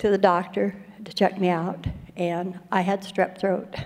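The speaker delivers the words at a fairly slow pace in a monotone, flat intonation. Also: woman. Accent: American. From Colorado. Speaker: recovery speaker. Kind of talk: testimony.

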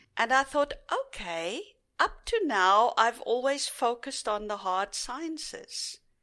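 At a fairly slow pace, a woman uses a raised, projected voice that is high, bright and sharp, with very wide pitch swings. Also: very clean recording, silent background. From South Africa. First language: Afrikaans. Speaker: retired teacher and scientist, interviewee. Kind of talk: casual interview, recounting life story.

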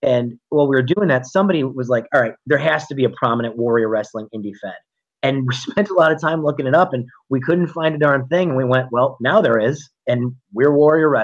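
A man with a plain, everyday voice, medium-pitched and fairly quick, with ordinary pitch variation. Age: 30s. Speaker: wrestling promoter and high school principal. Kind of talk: interview.

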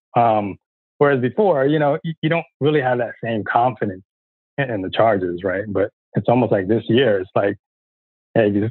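This man has a normal speaking voice with an American accent, pitched in the medium range. He talks at a moderate pace with ordinary pitch variation. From San Diego, then Florida from age 12. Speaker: football fan. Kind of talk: casual chat.

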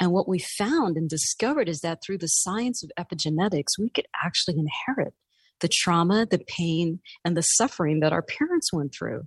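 A woman's fairly low, somewhat breathy voice at a fairly quick pace with lively intonation, in a dry, close sound with no echo. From New York City. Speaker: life coach and author. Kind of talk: interview.

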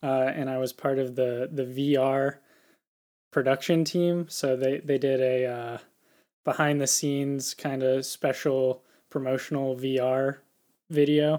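This man has a dark, mellow tone and an American accent, delivered in a flat monotone. The recording is very clean, with a silent background. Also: medium pitch for a man, fairly slow pace. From US South, Tennessee. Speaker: filmmaker. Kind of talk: casual chat.

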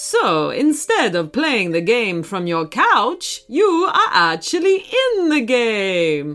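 In a put-on character voice, a woman speaks slowly at a fairly high pitch with big pitch swings. Her tone is fairly bright.

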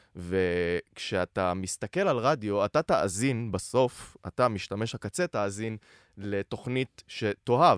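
Lively intonation in a plain, everyday voice with hardly any pauses, on a very clean recording with a silent background and a dry, close sound with no echo. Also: man. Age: 20s. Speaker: content creator and producer. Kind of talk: casual chat.

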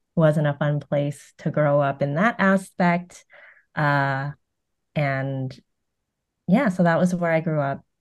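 A woman speaks at a very deep, low pitch and a very slow pace, with ordinary pitch variation. Long, frequent pauses break up her speech. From US West Coast, Concord, California. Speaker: television writer. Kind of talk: casual interview.

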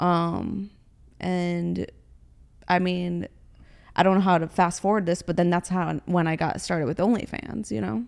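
Speaking with an American accent, a woman holds a medium pitch at a moderate pace. She takes long, frequent pauses on a very clean recording with a silent background. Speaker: car model and influencer. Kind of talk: casual interview chat.

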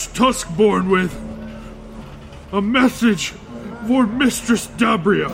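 A man puts on a character voice with a high pitch. He speaks at a very slow pace with long, frequent pauses over clear background noise. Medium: audio drama. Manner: subservient.

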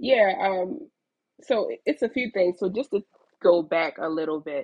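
An ordinary speaking voice from a woman, medium in pitch, with lively intonation and a moderate pace. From Baltimore, Maryland, US. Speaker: fashion entrepreneur. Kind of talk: casual interview chat.

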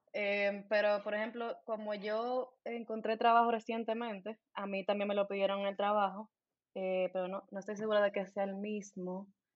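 A woman's medium-pitched voice, monotone and flat, at a moderate pace. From Santo Domingo, Dominican Republic. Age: 20s. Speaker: dentist. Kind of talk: casual interview chat.

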